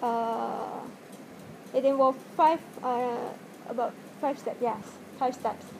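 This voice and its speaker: Noticeable background noise surrounds a woman with a high voice and fairly even intonation. She speaks very slowly, with long, frequent pauses. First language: not English. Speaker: video tutorial maker. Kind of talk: tutorial. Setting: home video, speaking to camera wearing a mask. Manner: halting, hesitant with many fillers. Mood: hesitant, apologetic. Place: home room. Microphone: webcam.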